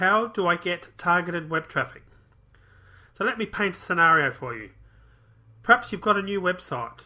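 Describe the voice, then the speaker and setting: A man with an Australian accent uses a high pitch and a bright, sharp tone. His lively intonation is broken by long, frequent pauses. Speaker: internet marketer. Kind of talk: online marketing tutorial. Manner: fast.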